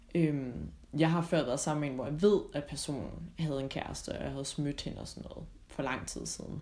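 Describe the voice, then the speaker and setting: Over audible room echo, a woman talks at a moderate pace with big swings in loudness. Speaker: podcast co-host. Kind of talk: recorded travel greeting; casual chat.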